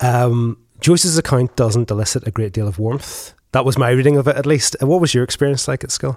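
In a Northern Irish accent, a man talks at a fairly quick pace with hardly any pauses and ordinary pitch variation. The sound is dry and close, with no echo. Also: medium pitch for a man. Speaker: podcast host. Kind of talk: interview. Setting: in-person studio.

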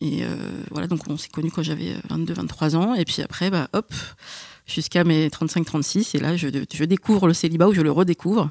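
Vocal fry runs through fairly even intonation on a very clean recording with a silent background and a dry, close sound with no echo. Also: woman, fairly low pitch for a woman, moderate pace. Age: 30s. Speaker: podcast guest. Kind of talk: casual chat.

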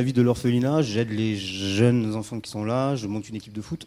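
The speaker is male. His voice has a medium pitch. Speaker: humanitarian association founder. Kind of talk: storytelling talk on stage. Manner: casual, hesitant with fillers.

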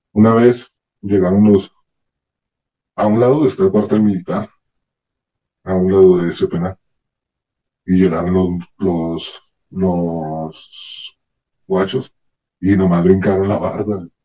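A man's very deep, low voice with a dark, mellow tone, fairly even intonation, a very slow pace and long, frequent pauses. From Northern Mexico, Ciudad Juárez. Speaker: former prisoner. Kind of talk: testimony.

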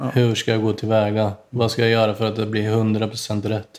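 Recorded very cleanly against a silent background, a man with a medium-pitched voice speaks at a moderate pace. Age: 40s. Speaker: tile setter. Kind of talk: casual chat.

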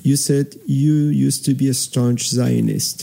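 With noticeable background noise, a man speaks at a very slow pace. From Iran. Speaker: radio host, co-host. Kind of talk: casual chat.

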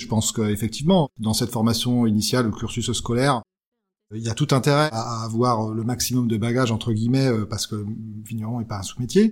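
An unremarkable speaking voice from a man, medium in pitch, with fairly even intonation and a fairly quick pace. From Champagne, France. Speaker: winegrower. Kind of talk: interview.

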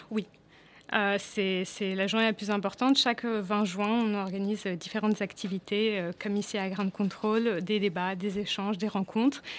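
Intonation stays monotone and flat at a moderate pace. The recording is very clean, with a silent background. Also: woman, medium pitch for a woman. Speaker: UN refugee agency staff member. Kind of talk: radio interview. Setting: studio. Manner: halting.

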